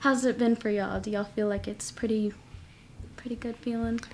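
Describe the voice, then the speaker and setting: Her voice is fairly high, and her intonation is monotone and flat. The woman speaks at a fairly quick pace but leaves long, frequent pauses. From Mexican-American, US. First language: Spanish. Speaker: podcast guest. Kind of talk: casual chat. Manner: talkative.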